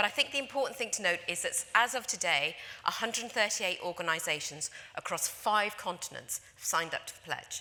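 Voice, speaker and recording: In a London accent, a woman speaks at a medium pitch and a fairly quick pace. Her intonation is lively, with big swings in loudness. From London, England. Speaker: conference speaker, industry association representative. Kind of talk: conference presentation. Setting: stage with audience.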